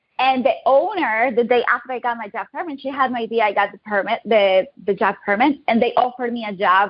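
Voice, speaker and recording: In a Colombian accent, a woman speaks at a fairly quick pace with hardly any pauses. Her pitch is fairly high, with ordinary variation. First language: Spanish. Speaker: digital marketing agency owner. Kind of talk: interview.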